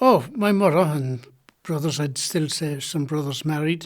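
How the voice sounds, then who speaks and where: In a very clean recording with a silent background, a man with a County Louth accent talks at a fairly slow pace and a fairly high pitch. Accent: Irish, County Louth. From Ireland, Drogheda. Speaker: retired Olympic boxer. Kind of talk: oral history interview. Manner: halting.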